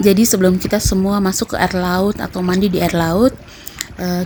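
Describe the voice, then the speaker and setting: Over noticeable background noise, a woman talks at a medium pitch in a monotone with flat intonation. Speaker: vlogger. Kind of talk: vlog narration. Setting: outdoors at a beach.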